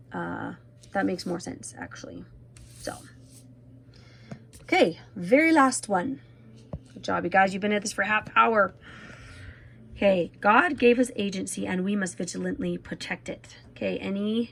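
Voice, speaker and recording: A woman speaks at a moderate pace, leaving long, frequent pauses. Her loudness swings widely, and music plays in the background. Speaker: teacher. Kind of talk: tutorial.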